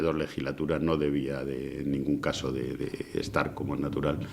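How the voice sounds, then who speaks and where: Vocal fry marks a man's voice at a fairly slow pace. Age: 60s. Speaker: former mayor. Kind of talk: interview. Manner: halting.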